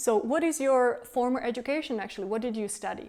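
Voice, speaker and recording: A woman with a Czech accent in a very clean recording with a silent background. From Czech Republic, Prague. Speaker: tour guide and company founder. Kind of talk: self-interview.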